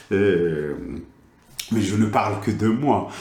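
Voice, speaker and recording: There is audible room echo and noticeable background noise. The speaker has a slight Moroccan accent. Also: man. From Morocco. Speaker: teacher trainer / educational supervisor. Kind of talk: lecture. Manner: halting, many hesitations.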